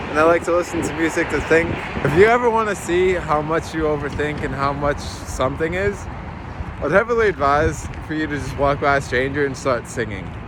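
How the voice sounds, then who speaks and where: Amid noticeable background noise and audible room echo, a man talks at a fairly quick pace and a fairly high pitch with ordinary pitch variation. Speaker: vlogger. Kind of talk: vlog narration. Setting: outdoors walking in city; gym treadmill. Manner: fast; animated.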